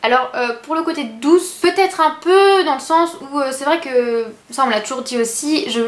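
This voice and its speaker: Noticeable background noise sits behind this woman. Her high-pitched voice has lively intonation. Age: 20s. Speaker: beauty and lifestyle youtuber. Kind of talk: casual vlog talking to camera. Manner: soft-spoken; hesitant, many fillers.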